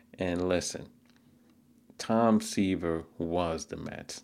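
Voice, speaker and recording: A man with an American accent talks at a very slow pace in a very deep, low voice. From New York City, Queens. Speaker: sports commentator. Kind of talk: solo commentary.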